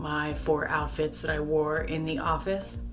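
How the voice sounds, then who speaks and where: A woman at a very slow pace, music in the background. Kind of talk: casual talk to camera.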